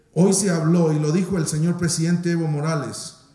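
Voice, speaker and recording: Talking at a moderate pace, a man with a fairly high pitch is heard with audible room echo. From Guatemala. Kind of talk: formal speech. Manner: formal. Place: hall. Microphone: podium.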